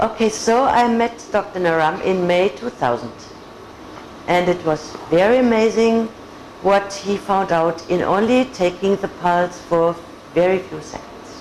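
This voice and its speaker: Speaking at a moderate pace with a German accent and ordinary pitch variation, the voice leaves long, frequent pauses over noticeable background noise. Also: woman, medium pitch for a woman. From Germany, Augsburg. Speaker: patient. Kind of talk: testimony.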